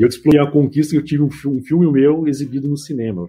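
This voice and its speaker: A somewhat breathy male voice. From São Paulo ABC region (Mauá), Brazil. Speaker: IT professor. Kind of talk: casual chat.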